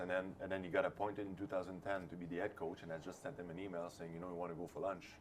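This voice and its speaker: With a Quebec French accent, a man talks at a very fast pace in a very deep, low voice. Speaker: hockey assistant coach. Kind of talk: interview. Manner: halting.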